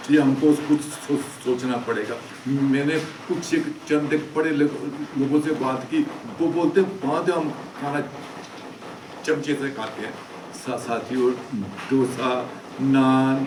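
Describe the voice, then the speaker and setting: A man's fairly high voice with fairly even intonation and long, frequent pauses, amid audible room echo and noticeable background noise. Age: 70s. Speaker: social commentator / vlogger. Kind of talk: monologue commentary. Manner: halting, frequent stammering restarts.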